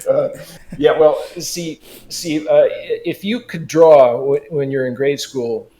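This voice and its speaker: The speaker is a man. He has a West Coast American accent. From Los Angeles, California. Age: 70s. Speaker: digital artist. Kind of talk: interview.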